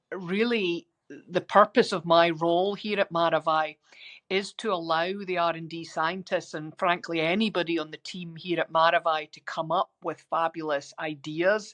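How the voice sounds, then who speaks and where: A woman speaks in a Scottish accent at a moderate pace. Her pitch is fairly low and her intonation fairly even. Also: dry, close sound with no echo, quiet background. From Scotland. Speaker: biotech executive and scientist. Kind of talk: interview. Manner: frequent filler ums.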